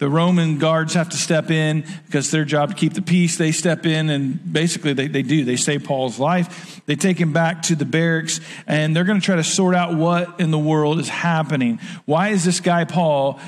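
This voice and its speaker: Against a quiet background, a man speaks at a moderate pace with very even loudness and fairly even intonation. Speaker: preacher. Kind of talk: sermon. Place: stage.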